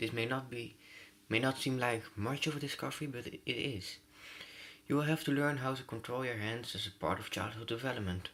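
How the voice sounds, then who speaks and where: Bright and sharp in tone, a man with a non-native accent speaks at a medium pitch. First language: not English. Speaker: gaming youtuber. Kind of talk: let's play reading game text aloud. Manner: halting, frequent stumbles and self-corrections.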